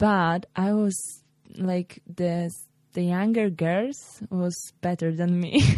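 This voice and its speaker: Speaking very slowly, a woman with a Polish accent has a dark, mellow tone, a fairly low pitch and ordinary pitch variation. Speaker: former volleyball player. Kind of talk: interview.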